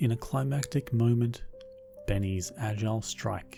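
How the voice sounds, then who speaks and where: A man speaks with an Australian accent and lively intonation. Music plays in the background. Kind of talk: sleep story.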